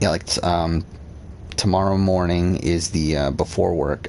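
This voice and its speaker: A man talks in a very deep, low-pitched voice. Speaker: gaming streamer. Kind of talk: casual livestream commentary. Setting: live stream.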